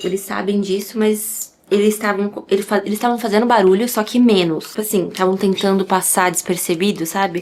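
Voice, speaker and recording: Over noticeable background noise, a woman with a medium pitch speaks at a moderate pace in a flat monotone, with hardly any pauses. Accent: Brazilian. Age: 20s. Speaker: ASMR content creator. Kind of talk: casual vlog talk to camera.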